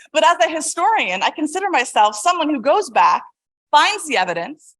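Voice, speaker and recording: In an American accent, a woman speaks loudly at a moderate pace with very wide pitch swings. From California. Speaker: historian and author. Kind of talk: lecture.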